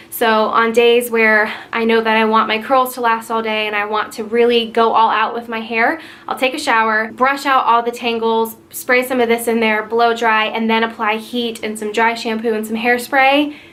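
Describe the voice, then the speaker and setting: A woman with a fairly high pitch speaks at a moderate pace, hardly pausing, in a monotone, flat intonation. Audible room echo surrounds her voice. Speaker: beauty vlogger. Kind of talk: product review.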